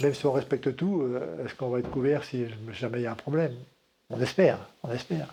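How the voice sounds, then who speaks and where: Speaking at a very fast pace, a man with a medium pitch shows ordinary pitch variation and big swings in loudness. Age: 70s. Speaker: mayor. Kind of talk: news interview. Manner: hesitant.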